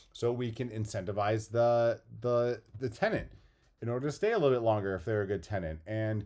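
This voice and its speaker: A man has a plain, everyday voice at a medium pitch with ordinary pitch variation. The recording is very clean with a silent background. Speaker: real estate agent. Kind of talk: tutorial.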